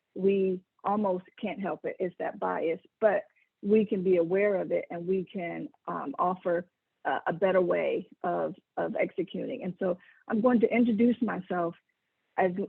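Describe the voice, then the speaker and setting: A plain, everyday voice from a woman with an American accent, at medium pitch and a moderate pace, with ordinary pitch variation. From US South, South Carolina. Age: 40s. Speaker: engineer and keynote speaker. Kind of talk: keynote talk.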